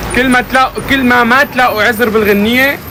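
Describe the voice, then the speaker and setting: A man's raised, projected voice at a fairly quick pace amid noticeable background noise. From Syria. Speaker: livestreamer. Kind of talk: casual chat. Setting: live stream. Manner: animated.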